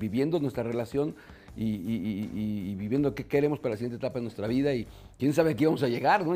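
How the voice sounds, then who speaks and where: Dark and mellow in tone, a man speaks at medium pitch with ordinary pitch variation. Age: 50s. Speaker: business consultant and mentor. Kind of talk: casual interview. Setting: restaurant bar. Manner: halting, many fillers.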